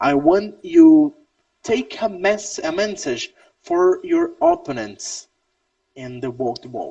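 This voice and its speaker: This man has a Brazilian Portuguese accent. He speaks at a very slow pace. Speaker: wrestling interview host. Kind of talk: casual interview. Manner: halting.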